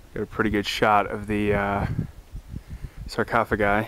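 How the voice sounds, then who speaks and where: With monotone, flat intonation at a moderate pace, the voice sounds dry with no echo over noticeable background noise. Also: man. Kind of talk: casual vlog chat. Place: open country. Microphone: phone near.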